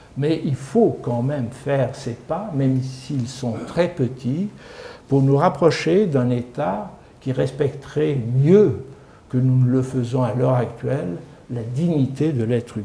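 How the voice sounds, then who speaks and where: A man talks at a very slow pace. There is noticeable background noise and audible room echo. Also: medium pitch for a man, ordinary pitch variation. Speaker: lecturer, former senior civil servant. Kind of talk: lecture. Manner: calm, peaceful tone.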